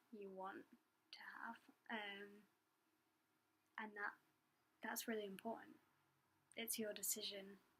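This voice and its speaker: A woman speaks quietly at a fairly high pitch. Her intonation stays fairly even. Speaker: doula. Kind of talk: casual Q&A talk to camera. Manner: hesitant, many fillers; quiet, trying to talk louder.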